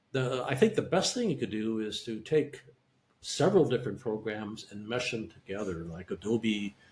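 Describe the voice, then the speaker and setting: Speaking at a moderate pace and a medium pitch, a man sounds somewhat breathy, with lively intonation and big swings in loudness. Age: 70s. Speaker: neuromonitoring specialist and audiologist. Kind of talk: interview. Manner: halting.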